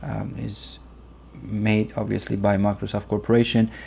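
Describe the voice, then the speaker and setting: A man talks at a fairly slow pace with a Persian accent. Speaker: software tutorial youtuber. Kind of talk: tutorial. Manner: hesitant, many fillers.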